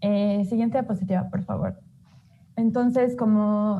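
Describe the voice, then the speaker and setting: Her voice somewhat breathy, a woman at medium pitch speaks at a fairly quick pace in a monotone, flat delivery. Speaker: human rights researcher presenting a report. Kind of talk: online report presentation. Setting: livestreamed webinar.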